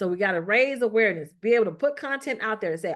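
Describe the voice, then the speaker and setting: In a quiet background, a woman speaks with lively intonation at a fairly high pitch. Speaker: marketing consultant. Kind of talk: business meeting presentation. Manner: fast.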